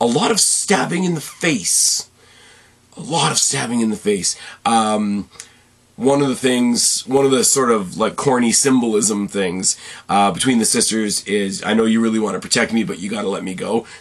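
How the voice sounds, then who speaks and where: Noticeable background noise behind a man's lively intonation. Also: medium pitch for a man. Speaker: movie review podcaster. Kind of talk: solo movie review. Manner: fast, rambling.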